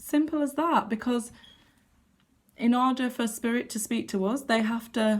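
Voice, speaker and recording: A woman's somewhat breathy, fairly high voice on a very clean recording with a silent background. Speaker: tarot card reader. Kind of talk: casual talk to camera. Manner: shaky when giving bad news.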